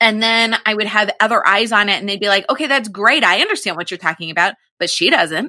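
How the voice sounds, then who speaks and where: Bright and sharp in tone, a woman's fairly high voice races along very fast with lively intonation. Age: 40s. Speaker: network marketing coach and podcast host. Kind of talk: interview conversation.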